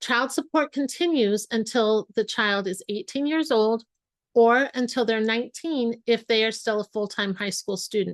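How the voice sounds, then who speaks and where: A woman with an ordinary speaking voice talks at a fairly slow pace and fairly high pitch with ordinary pitch variation, the sound dry and close with no echo over a quiet background. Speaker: family law attorney. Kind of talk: webinar presentation. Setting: online webinar.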